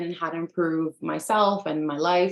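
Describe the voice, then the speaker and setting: In an American accent, a woman with a plain, everyday voice speaks at a fairly low pitch and a moderate pace, her intonation fairly even. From US, Dominican American family. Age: 30s. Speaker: life coach and teacher. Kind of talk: webinar presentation. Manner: frequent filler ums.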